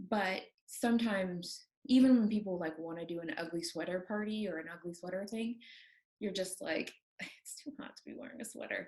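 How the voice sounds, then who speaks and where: A woman's somewhat breathy voice at medium pitch, with ordinary pitch variation and a fairly quick pace. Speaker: knitting podcast co-host. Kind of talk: casual chat. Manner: fast.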